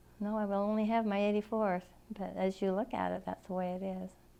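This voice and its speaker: A woman with a Western US accent, medium-pitched, dark and mellow in tone, flat and monotone, at a very fast pace. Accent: American Western. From Arizona, Phoenix. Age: 80s+. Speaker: oral history interviewee. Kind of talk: oral history interview. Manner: halting.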